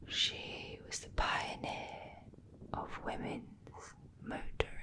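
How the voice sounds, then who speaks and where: A woman whispering at a very slow pace amid noticeable background noise. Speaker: ASMR creator, travel vlogger. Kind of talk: whispered travel narration to camera. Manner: whispered, soft-spoken.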